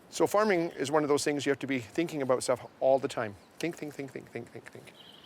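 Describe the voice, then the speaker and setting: Noticeable background noise fills the recording. A man talks at a moderate pace, his pitch varying in an ordinary way. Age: 60s. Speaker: backyard farmer. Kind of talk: interview talk.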